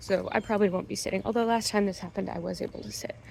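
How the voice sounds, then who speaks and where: Noticeable background noise sits behind this recording. Over it, a woman talks at a very fast pace. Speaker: fashion vlogger. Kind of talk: casual vlog chat. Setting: in a car.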